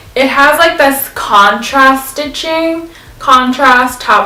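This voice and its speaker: A woman's voice comes through with ordinary pitch variation. Noticeable background noise and audible room echo fill the recording. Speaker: fashion vlogger. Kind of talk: try-on haul video. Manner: casual, filler-heavy.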